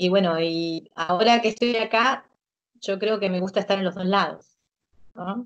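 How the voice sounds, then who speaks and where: A woman with a Rioplatense accent, ordinary pitch variation and a fairly slow pace, over a quiet background. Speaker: interviewee living abroad. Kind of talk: interview answers. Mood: cheerful, relaxed. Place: home room. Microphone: video call.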